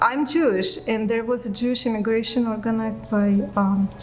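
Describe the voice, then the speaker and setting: A woman with a Russian accent speaks at a moderate pace with a fairly high pitch and fairly even intonation. Music plays in the background, and room echo is audible. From Russia, Moscow. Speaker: immigrant interviewee. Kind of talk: interview testimony. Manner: hesitant, many fillers.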